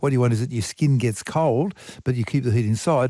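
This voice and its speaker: In a very clean recording with a silent background, a man speaks at a medium pitch with a dark, mellow tone and lively intonation. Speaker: science communicator. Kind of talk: radio science talk segment. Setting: radio broadcast.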